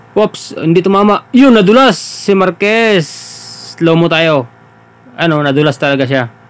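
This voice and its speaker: Speaking at a fairly slow pace, a man with a high voice uses lively intonation over noticeable background noise. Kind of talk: live boxing commentary over fight footage. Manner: animated, laughing, joking and chiming in with fan-like reactions.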